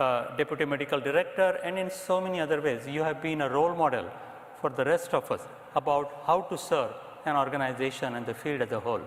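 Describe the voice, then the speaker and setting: Speaking with an Indian accent, the man has a fairly high pitch. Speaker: psychiatrist, association president. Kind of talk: presidential address. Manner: formal.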